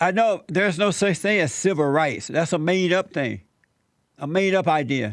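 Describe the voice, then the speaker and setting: On a very clean recording with a silent background, a man with an American accent speaks at a high pitch and moderate pace with lively intonation. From US South, Alabama. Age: 70s. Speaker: talk show host. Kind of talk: interview.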